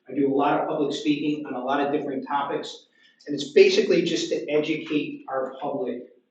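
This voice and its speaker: Audible room echo surrounds a man speaking at a moderate pace with an American accent. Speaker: police officer. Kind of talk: lecture. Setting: library talk with audience. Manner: loud.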